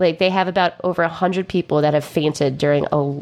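A woman speaks with fairly even intonation. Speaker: podcast co-host. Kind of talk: casual chat.

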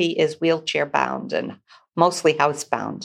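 A woman with an American accent speaks at a moderate pace, her fairly low voice edged with vocal fry. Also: very clean recording, silent background. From Massachusetts, Newburyport. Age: 70s. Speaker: ministry leader. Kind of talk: testimony.

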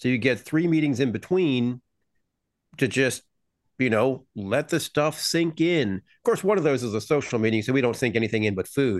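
A man speaks in a plain, everyday voice at a medium pitch and moderate pace, with lively intonation. The background is quiet. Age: 50s. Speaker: podcast host. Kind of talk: casual chat podcast.

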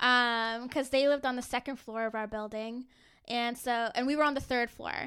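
An American accent marks this woman's high-pitched, bright, sharp voice, delivered at a moderate pace in monotone, flat intonation. The recording is very clean, with a silent background. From Northern Virginia, DC suburbs. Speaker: podcast co-host. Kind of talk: casual chat.

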